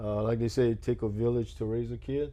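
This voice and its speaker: Audible room echo surrounds a man's voice. He talks very fast at a medium pitch. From Louisiana, Terrebonne Parish (Houma). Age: 60s. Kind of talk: oral history interview. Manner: relaxed, hesitant with many uh fillers.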